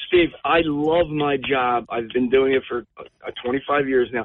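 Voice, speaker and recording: A man speaks at medium pitch with a New Jersey accent. His intonation stays fairly even. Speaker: police officer. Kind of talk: call-in discussion. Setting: phone call. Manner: halting.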